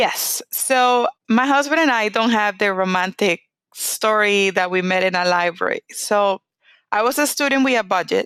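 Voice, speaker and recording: This woman's voice has medium pitch and ordinary pitch variation, moving at a moderate pace in a dry, close sound with no echo. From Venezuela. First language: Spanish. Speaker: oncologist. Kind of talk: interview.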